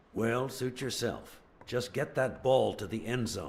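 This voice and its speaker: Using a put-on character voice, a man talks at a fairly slow pace with a medium pitch, a raspy sound and fairly even intonation. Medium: video game. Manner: smooth, charming.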